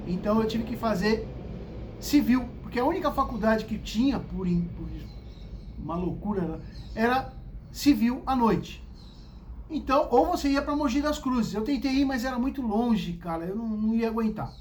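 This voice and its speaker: A man speaks with a high pitch and an animated tone at a moderate pace. Long, frequent pauses break up his speech, and audible room echo surrounds it. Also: ordinary pitch variation. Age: 60s. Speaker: vlogger telling life stories. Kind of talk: casual storytelling monologue.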